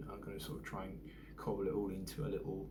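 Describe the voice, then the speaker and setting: Noticeable background noise and audible room echo both fill the space around a man talking. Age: 40s. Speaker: vlogger. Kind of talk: casual vlog monologue. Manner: hesitant, many fillers.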